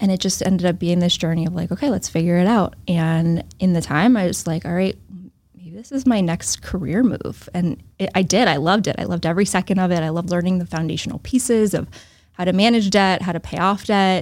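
A woman with an American accent uses a normal speaking voice at a medium pitch, with ordinary pitch variation and a fairly quick pace. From US Northeast, central Massachusetts. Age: 30s. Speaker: financial advisor. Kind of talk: casual interview. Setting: in person.

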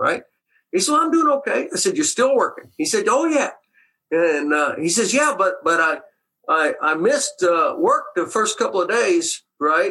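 A man with an American accent projects his voice at an extremely high pitch, bright and sharp in tone. His pitch swings very widely as he talks at a moderate pace. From Texas, Waco. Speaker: retired carpenter. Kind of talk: interview storytelling.

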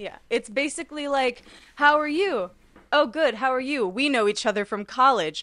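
Bright, sharp, high-pitched voice of a woman with lively intonation. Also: moderate pace. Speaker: podcast co-host. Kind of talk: casual chat. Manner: laughs often, chatty.

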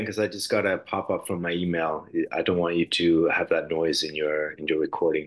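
A man with an American accent at a very fast pace and a fairly low pitch, over a quiet background. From grew up in several countries (Denmark, Germany, US, Sweden). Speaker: musician. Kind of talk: interview. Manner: halting, many repetitions and fillers.

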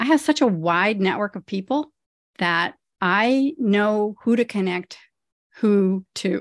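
Spoken very slowly with lively intonation and an American accent. The sound is dry and close with no echo, over a quiet background. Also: woman, medium pitch for a woman. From US Midwest (rural Ohio). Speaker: retired pediatrician and lifestyle coach. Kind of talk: interview.

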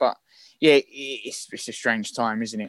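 The speaker has a London accent. The pace is fairly quick. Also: man, dry, close sound with no echo. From London, Islington. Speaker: actor. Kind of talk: casual chat. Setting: video call. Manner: fast; animated.

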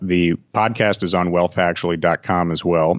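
The speech comes at a moderate pace with a dry, close sound and no echo. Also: man. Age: 40s. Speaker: author and former wealth manager. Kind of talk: interview.

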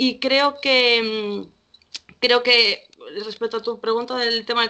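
Her pitch fairly high, a woman talks very slowly with fairly even intonation. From Spain, Galicia (Vigo). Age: 20s. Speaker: social worker. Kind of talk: casual chat.

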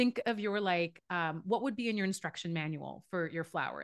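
In a quiet background, a woman speaks at a fairly quick pace in a medium pitch, her tone animated and her intonation lively. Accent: Canadian. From Canada (Vancouver), born in Iran. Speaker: life coach. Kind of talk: casual interview conversation.

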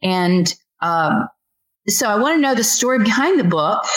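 An ordinary speaking voice from a woman with an American accent and lively intonation. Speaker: podcast host interviewing creators. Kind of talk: interview conversation.

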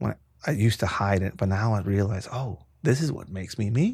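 A man with a fairly low pitch speaks at a fairly quick pace, somewhat breathy and with ordinary pitch variation, in a very clean recording over a silent background. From Mexico, Tijuana. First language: Spanish. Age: 40s. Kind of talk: casual chat.

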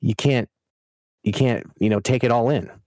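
A man's dark, mellow voice at a medium pitch and moderate pace, in a very clean recording with a silent background. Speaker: podcast co-host. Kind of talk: casual chat. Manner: halting, with many filler words and restarts.

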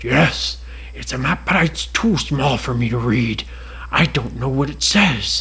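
The speaker uses a put-on character voice at a fairly slow pace. Clear background noise is present. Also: man. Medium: read story. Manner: polite, gentle.

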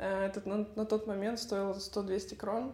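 A woman talks with monotone, flat intonation against noticeable background noise. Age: 20s. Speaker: tennis coach and academy founder. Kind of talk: interview.

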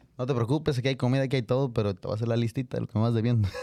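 This man's voice has a dark, mellow tone and fairly even intonation. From Mexico. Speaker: singer-songwriter. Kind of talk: casual chat. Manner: casual, slangy.

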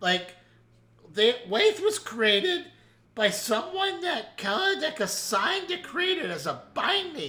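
A man puts on a strained character voice with very wide pitch swings. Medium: actual play. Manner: rambling, filler-heavy.

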